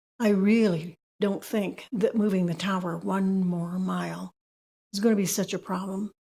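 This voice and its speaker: A woman's dark, mellow, somewhat breathy voice at a medium pitch, monotone and flat, at a moderate pace. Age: 70s. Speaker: public commenter. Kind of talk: public comment. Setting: city planning meeting.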